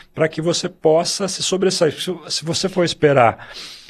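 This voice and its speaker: There's vocal fry in this man's voice as he talks at a moderate pace. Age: 60s. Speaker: swim school owner. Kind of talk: podcast discussion.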